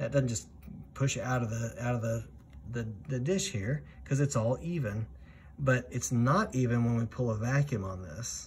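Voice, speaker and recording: A man speaks at a moderate pace with ordinary pitch variation and a somewhat breathy sound. Light background noise is present. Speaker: flight instructor. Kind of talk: tutorial.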